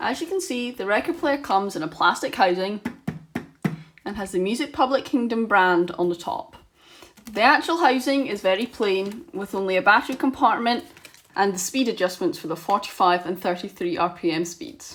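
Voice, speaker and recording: Through noticeable background noise, a woman of medium pitch speaks with very wide pitch swings. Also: moderate pace. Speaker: vinyl record YouTuber. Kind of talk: casual product review to camera. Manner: slight stutter.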